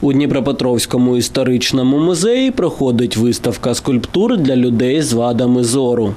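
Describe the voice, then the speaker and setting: The voice shows ordinary pitch variation, with noticeable background noise running beneath it. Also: man. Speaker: TV news reporter. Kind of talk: news reading.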